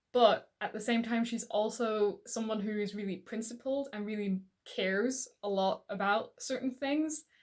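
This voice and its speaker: Fairly high pitch and ordinary pitch variation from a woman, at a moderate pace. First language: not English. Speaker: book reviewer. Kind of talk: casual vlog talk. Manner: hesitant, with repetitions.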